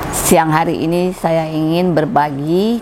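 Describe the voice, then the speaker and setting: Noticeable noise sits in the background. The intonation stays fairly even. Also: woman. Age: 60s. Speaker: church music teacher and trainer. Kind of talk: testimony.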